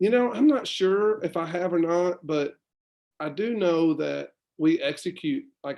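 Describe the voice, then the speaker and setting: This man speaks with lively intonation at a high pitch. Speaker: high school football head coach. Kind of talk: casual interview. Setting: livestream. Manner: fast.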